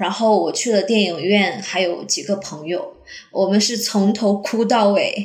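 Amid noticeable background noise and audible room echo, a woman speaks at a fairly slow pace with fairly even intonation. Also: medium pitch for a woman. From Jilin, northeast China. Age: 30s. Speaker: teacher. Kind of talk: personal testimony.

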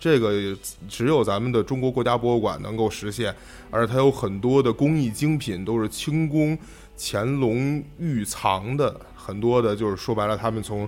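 At a moderate pace and medium pitch, a man with an unremarkable speaking voice talks with ordinary pitch variation. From Beijing, China. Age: 20s. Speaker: art history student. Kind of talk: casual chat.

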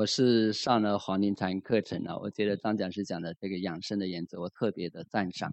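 A normal speaking voice, fairly even in intonation, at a fairly quick pace. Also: man, fairly low pitch for a man. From Zhuhai, Guangdong. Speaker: meditation student. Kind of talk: testimony.

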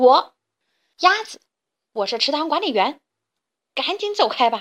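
Shouting in a put-on character voice, a woman goes at a fairly slow pace with a high pitch, big pitch swings and a fairly bright tone.

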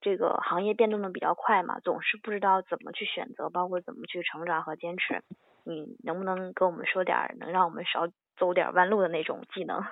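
A woman's plain, everyday voice at a medium pitch, with ordinary pitch variation. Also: fairly quick pace. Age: 20s. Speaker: podcast host. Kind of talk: podcast interview.

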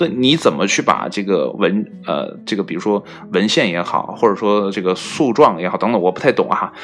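With noticeable background noise around him, a man talks at a fairly quick pace using lively intonation. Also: fairly low pitch for a man. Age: 30s. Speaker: solo podcast host. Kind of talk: casual solo monologue. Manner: hesitant with many fillers.

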